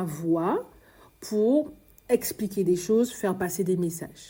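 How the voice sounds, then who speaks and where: Dark and mellow, a woman's voice comes out somewhat breathy. She speaks at a very slow pace with ordinary pitch variation. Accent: Antillean. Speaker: podcast host, early childhood educator. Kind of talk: podcast monologue, personal story. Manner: stammering, halting.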